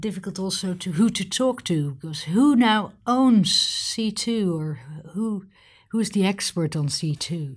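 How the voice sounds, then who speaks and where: A somewhat breathy woman speaks at a medium pitch and a fairly slow pace with lively intonation, recorded very cleanly against a silent background. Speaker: military officer interviewer. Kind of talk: interview.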